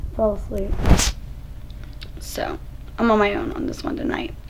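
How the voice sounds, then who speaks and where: Audible room echo surrounds a woman's voice. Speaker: vlogger. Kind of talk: casual Q&A vlog.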